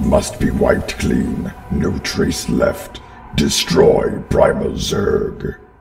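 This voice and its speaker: In a raspy put-on character voice, a man speaks at a very slow pace, with a slight echo. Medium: voice reel. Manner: clipped, terse, fragmented phrasing.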